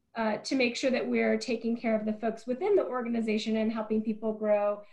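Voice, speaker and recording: A woman with an American accent and a somewhat breathy voice at a fairly high pitch. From US Pacific Northwest, small town in Eastern Oregon. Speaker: nonprofit CEO and former restaurateur. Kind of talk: interview conversation.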